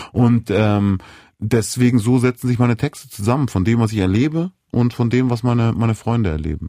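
The man's tone is dark and mellow, and his pitch varies in an ordinary way. Everything is very clean, with silence in the background. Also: medium pitch for a man, fairly quick pace, very even loudness. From Munich, Bavaria. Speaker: rapper and songwriter. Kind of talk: casual interview. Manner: hesitant with many fillers.

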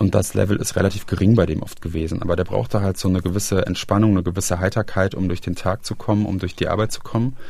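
A man talks at a very fast pace with hardly any pauses, his very deep, low pitch held in fairly even intonation. Noticeable background noise runs under him. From Germany, Rhineland (Aachen). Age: 30s. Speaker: interviewee sharing family addiction story. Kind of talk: personal testimony interview. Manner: hesitant, with fillers and repetitions.

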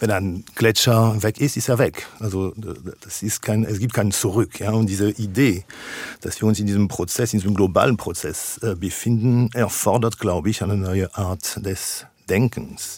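At a fairly slow pace, a man speaks with a French accent at a fairly low pitch. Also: ordinary pitch variation. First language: French (speaking German). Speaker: philosopher. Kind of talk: radio interview. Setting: radio studio, remote. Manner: halting, many filler sounds.

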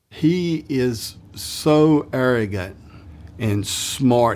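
A man talks in an ordinary speaking voice. It stays at a medium pitch and varies in an ordinary way. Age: 60s. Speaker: retired police investigator. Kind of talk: interview.

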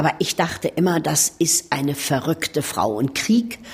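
There is noticeable background noise behind a woman whose pitch is fairly low. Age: 70s. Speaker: actress. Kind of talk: interview.

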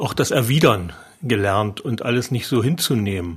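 An ordinary speaking voice from a man, fairly slow in pace, with ordinary pitch variation. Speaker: surgeon. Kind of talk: interview.

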